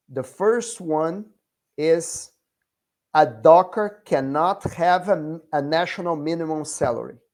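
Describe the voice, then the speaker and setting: The speech comes very slowly, in a non-native accent. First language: not English. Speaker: union educator leading a workers' training group. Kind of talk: online group meeting / class. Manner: slow, deliberate.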